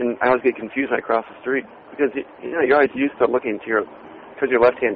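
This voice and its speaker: Speaking at a very fast pace, a man with an American accent uses a medium pitch over noticeable background noise. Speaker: podcast co-host. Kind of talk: casual chat. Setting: phone booth on a street in London. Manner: animated.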